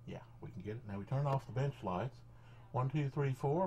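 The voice has a dark, mellow, somewhat breathy tone and ordinary pitch variation, moving at a fairly quick pace over light background noise. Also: man. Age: 50s. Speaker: electronics hobbyist. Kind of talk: tutorial. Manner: halting. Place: workshop.

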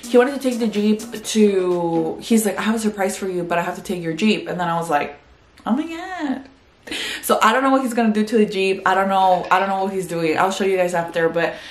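Audible room echo surrounds a woman's voice. She talks at a fairly quick pace with ordinary pitch variation. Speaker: vlogger. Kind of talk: casual vlog chat. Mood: upbeat, chatty. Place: home room. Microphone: phone near.

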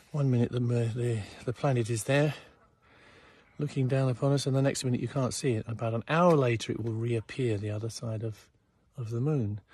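A man talks at a fairly quick pace in a somewhat breathy voice with fairly even intonation, the sound dry with no echo. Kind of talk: casual vlog chat. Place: garden. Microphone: phone near.

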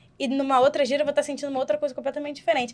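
A woman talks at a very fast pace. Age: 20s. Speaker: Umbanda practitioner. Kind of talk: casual podcast discussion on religion. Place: studio. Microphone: studio mic.

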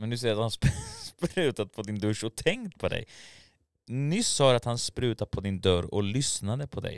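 Against a quiet background, a man talks at a moderate pace with lively intonation in a dry sound with no echo. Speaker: YouTube commentary creator. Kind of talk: casual commentary video. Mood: mocking, incredulous. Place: studio. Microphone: studio mic.

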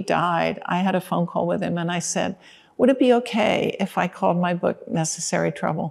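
Vocal fry runs through the voice at a moderate pace. The background stays quiet. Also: woman. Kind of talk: interview answer. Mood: warm, reflective. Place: stage. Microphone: lapel.

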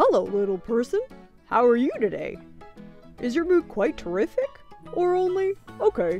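Using a put-on character voice, a woman speaks at a moderate pace in a high pitch, with long, frequent pauses and faint music in the background. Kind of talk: children's story reading. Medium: read story. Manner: playful, exaggerated.

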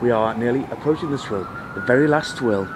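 Noticeable background noise sits behind this man. His intonation is lively. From England. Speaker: comedy vlogger. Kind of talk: casual live vlog. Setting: outdoors on a rooftop. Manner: rambling and repetitive; animated.

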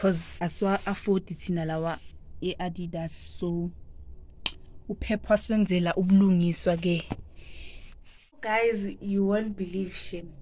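Over light background noise, a woman speaks at a fairly slow pace with long, frequent pauses, her somewhat breathy voice dark and mellow in tone and fairly even in intonation. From Mpumalanga, South Africa. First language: Zulu. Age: young. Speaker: vlogger. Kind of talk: casual talk to camera. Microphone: phone near.

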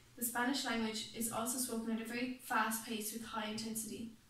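In audible room echo, a woman with an Irish accent speaks in a flat monotone at a moderate pace. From Ireland. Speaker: student presenter. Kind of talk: class presentation. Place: meeting room. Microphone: camera far.

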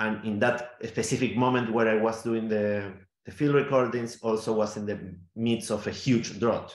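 In a room with audible echo, a man with a Spanish accent speaks with fairly even intonation. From Argentina, Neuquén (Patagonia). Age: 40s. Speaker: theatre maker and sound artist. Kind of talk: interview. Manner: halting, many fillers and repetitions. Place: home room. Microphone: video call.

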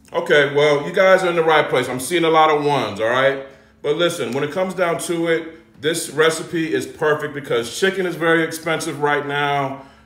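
A fairly high-pitched man at a fairly quick pace with fairly even intonation and audible room echo. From US South (Georgia). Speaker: home cook and cooking content creator. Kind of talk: live cooking tutorial stream. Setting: home kitchen livestream. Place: kitchen. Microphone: phone near.

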